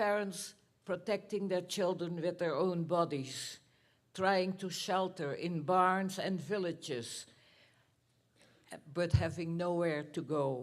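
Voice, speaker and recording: In a Dutch accent, a woman with fairly low pitch and ordinary pitch variation speaks at a very slow pace with long, frequent pauses. The recording is very clean, with a silent background. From Netherlands. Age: 90s. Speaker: Holocaust survivor. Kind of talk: talk to students. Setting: school theater with audience.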